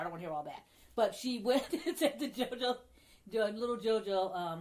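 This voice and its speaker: A woman with an unremarkable speaking voice, lively intonation and a fairly quick pace. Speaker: podcast co-host. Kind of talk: casual chat.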